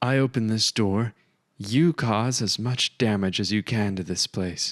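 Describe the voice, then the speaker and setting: In a shaky, put-on character voice, a man speaks at a medium pitch and a moderate pace. The recording is very clean with a silent background. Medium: read story. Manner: hesitant, strained.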